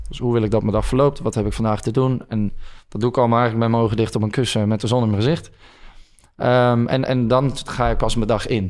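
At a very fast pace, a man with a medium pitch speaks with fairly even intonation in a very clean recording with a silent background. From Netherlands, Hilversum area. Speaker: breathwork coach. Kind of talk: casual interview conversation.

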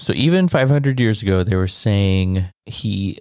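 Fairly slow delivery in a plain, everyday voice, pitch varying in an ordinary way. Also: man. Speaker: podcast co-host. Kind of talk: casual chat.

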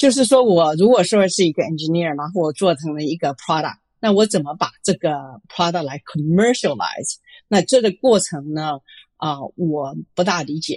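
At a moderate pace, a woman with a fairly low pitch speaks with lively intonation, the sound dry and close with no echo. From Taiwan (Chiayi), moved to US at 15. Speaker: venture capitalist. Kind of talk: interview. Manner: frequent hesitations and Chinese-English code-switching.

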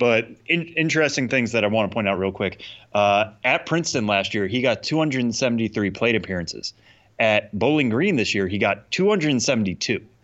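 An ordinary speaking voice from a man with an American accent, medium-pitched, fairly slow, with lively intonation and very even loudness. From Massachusetts. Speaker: podcast co-host. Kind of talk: casual chat.

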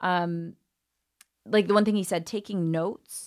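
A woman with a plain, everyday voice speaks in a fairly low pitch with ordinary pitch variation on a very clean recording with a silent background. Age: 40s. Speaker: comedian and dating coach. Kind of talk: casual chat.

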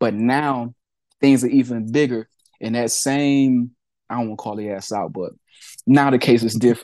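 Speaking with an American accent, a man uses a dark, mellow tone at a medium pitch with fairly even intonation. He keeps a moderate pace, leaves long, frequent pauses, and his loudness swings widely. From US Midwest, Peoria, Illinois. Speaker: rapper. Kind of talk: casual interview.

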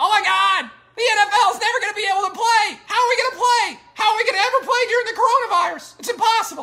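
A put-on character voice rattles along at a very fast pace in an extremely high pitch. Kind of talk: casual. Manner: mocking.

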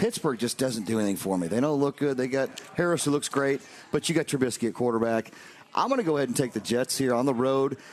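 A man speaks at a very fast pace in a medium pitch with ordinary pitch variation. His loudness stays very even over noticeable background noise. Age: 40s. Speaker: sports radio co-host. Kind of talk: casual sports chat.

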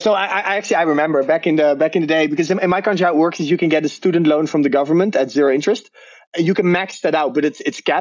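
Someone with a Dutch accent talks at a very fast pace with ordinary pitch variation. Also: man. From Netherlands. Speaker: crypto trader. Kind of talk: interview. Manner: halting.

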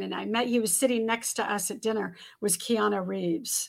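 A woman speaks at a fairly quick pace in a normal speaking voice, her fairly high pitch moving with ordinary variation. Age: 50s. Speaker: former model and author. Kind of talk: interview.

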